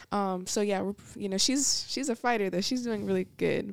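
A woman with an American accent has an ordinary speaking voice at a medium pitch, with ordinary pitch variation. She talks at a moderate pace in a dry, close sound with no echo. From Niagara Falls, New York, then Georgia. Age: 20s. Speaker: ministry administrator. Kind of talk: testimony.

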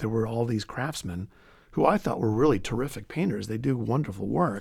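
A somewhat breathy man speaks at a fairly quick pace with lively intonation. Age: 50s. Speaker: art history professor. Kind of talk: interview.

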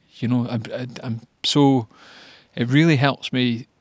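On a very clean recording with a silent background and a dry, close sound with no echo, a man with a Scottish accent speaks at a moderate pace and medium pitch in monotone, flat intonation. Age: 40s. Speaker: amateur runner, video diarist. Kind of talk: personal video diary. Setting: at home after a run. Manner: halting, many fillers.

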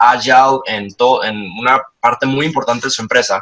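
Bright and sharp in tone, the voice goes at a moderate pace. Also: man. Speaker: leadership and storytelling consultant. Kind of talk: interview.

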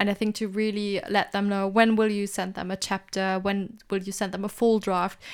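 A woman speaks at a medium pitch and a moderate pace, with hardly any pauses. Her intonation is monotone and flat, and the recording is very clean with a silent background. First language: not English. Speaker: podcast co-host, PhD graduate. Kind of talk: casual chat. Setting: home recording with laundry hung up.

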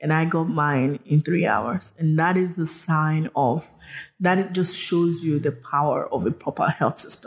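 Somewhat breathy and fairly low-pitched, a woman speaks at a fairly slow pace with a Nigerian accent. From Nigeria, southwest (Yoruba). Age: 30s. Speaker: health tech entrepreneur. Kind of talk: interview storytelling. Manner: halting, many fillers.

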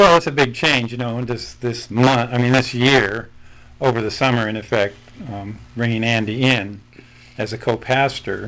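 With a Midwestern accent, a man speaks at a moderate pace in a medium pitch and fairly even intonation. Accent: general Midwestern American. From Nebraska. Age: 70s. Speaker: pastor. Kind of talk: interview, conversational.

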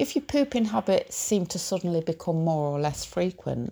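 Speaking in a British accent at a moderate pace, a woman uses very wide pitch swings around a fairly low pitch, her somewhat breathy voice dark and mellow on a very clean recording with a silent background. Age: 50s. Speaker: podcast host. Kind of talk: personal monologue. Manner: halting.

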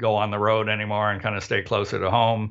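A man with a Canadian accent and a fairly low pitch. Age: 60s. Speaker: harmonica player. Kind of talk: casual interview. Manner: halting, many fillers and restarts.

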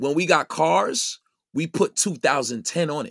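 This man has an American accent and a fairly high pitch with very wide swings and vocal fry, recorded very cleanly against a silent background with a dry, close sound and no echo. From Brooklyn, New York (Brownsville). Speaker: DJ and radio broadcaster. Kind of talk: casual interview chat.

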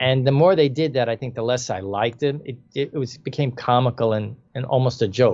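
Talking with a normal speaking voice at a fairly quick pace, a man with an American accent holds a medium pitch with ordinary pitch variation. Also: hardly any pauses. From New York, the Bronx. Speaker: filmmaker. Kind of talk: interview.

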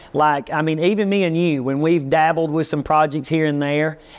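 With a Southern US accent, a man speaks at a fairly high pitch and with fairly even intonation. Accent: Southern US (Georgia). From US South. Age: 40s. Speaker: pastor and barber. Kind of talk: casual chat. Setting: barbershop.

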